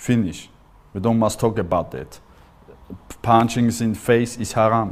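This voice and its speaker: The speaker is a man with an Austrian accent. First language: German. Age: 40s. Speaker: MMA fighter. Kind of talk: interview testimony. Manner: halting.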